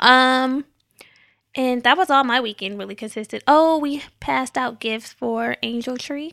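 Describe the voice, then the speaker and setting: Speaking at a fairly slow pace, a woman has a high pitch with ordinary pitch variation, a bright, sharp tone and big swings in loudness, in a dry, close sound with no echo and a very clean recording with a silent background. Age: 30s. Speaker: podcast co-host. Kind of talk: casual chat.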